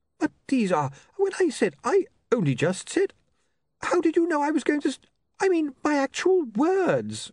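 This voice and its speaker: A squeaky put-on character voice with a high pitch moves at a moderate pace, broken by long, frequent pauses. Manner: stuttering, flustered, stammering.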